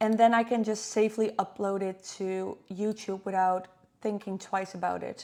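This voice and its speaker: A woman with a non-native accent speaks at a moderate pace in a dark, mellow tone. Her intonation is monotone and flat. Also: medium pitch for a woman. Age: 30s. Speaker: vlogger. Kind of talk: screen-recording tutorial vlog. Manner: casual, hesitant with fillers.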